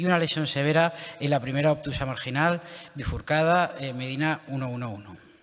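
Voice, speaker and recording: At a moderate pace, a plain, everyday voice shows ordinary pitch variation. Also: man, fairly high pitch for a man. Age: young. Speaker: interventional cardiologist. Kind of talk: clinical case presentation. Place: hall.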